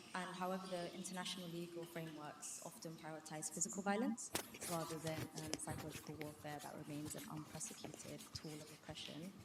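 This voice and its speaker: Speaking at a fairly quick pace, a woman keeps a fairly low pitch and fairly even intonation. Audible room echo surrounds her voice. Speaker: student audience member. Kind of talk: audience question. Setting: university event with audience. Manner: fast.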